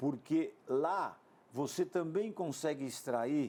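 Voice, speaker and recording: This is a man with a dark, mellow tone. His intonation is lively. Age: 60s. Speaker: TV sports business show host. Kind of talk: TV interview.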